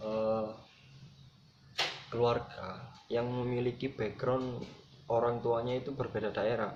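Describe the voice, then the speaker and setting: A man with a Javanese accent at a very slow pace, with audible room echo and noticeable background noise. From Java, Indonesia. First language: Javanese (speaking Indonesian). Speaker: student presenter. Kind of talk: lecture.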